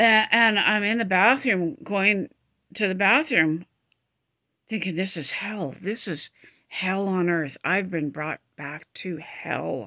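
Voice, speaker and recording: A woman speaks very slowly in a bright, sharp tone. Her intonation is lively, and the background is quiet. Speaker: vlogger. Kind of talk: casual vlog chat. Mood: emotional, reflective storytelling. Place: home room. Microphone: phone near.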